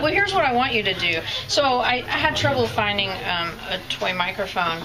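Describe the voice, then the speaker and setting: A woman at a moderate pace, fairly high in pitch with very wide pitch swings, over noticeable background noise. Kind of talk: casual interview host.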